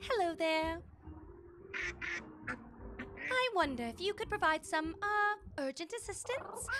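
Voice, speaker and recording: Over clear background music, a woman uses a put-on character voice at an extremely high pitch, speaking fairly slowly with long, frequent pauses. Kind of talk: proper, courteous. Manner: politely urgent.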